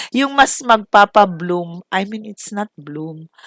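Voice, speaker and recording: A woman speaks at a fairly slow pace, her pitch swinging very widely. The sound is dry and close, with no echo. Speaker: home baker and cooking vlogger. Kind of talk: tutorial. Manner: casual, with self-corrections.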